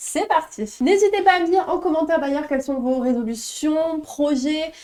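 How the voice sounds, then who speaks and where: In an animated tone, a woman talks at a moderate pace with an extremely high pitch and ordinary pitch variation. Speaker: youtuber and gaming creator. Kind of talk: casual vlog talk to camera.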